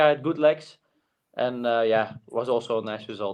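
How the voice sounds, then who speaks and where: A man with a Flemish accent at a moderate pace, with ordinary pitch variation. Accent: Flemish Dutch accent in English. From Flanders, Belgium. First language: Dutch. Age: young. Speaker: cyclist. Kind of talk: interview. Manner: halting, many fillers.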